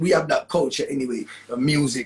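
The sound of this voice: A man with a Jamaican accent speaks at a fairly quick pace, his medium-pitched voice carrying a husky, rough edge and ordinary pitch variation.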